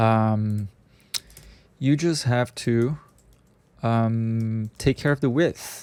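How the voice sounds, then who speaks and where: At a very slow pace, a man speaks with a non-native accent and a medium pitch. His tone is dark and mellow, with fairly even intonation. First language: not English. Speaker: software scripting tutor. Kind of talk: screen-share coding tutorial. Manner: halting, many fillers; casual, conversational.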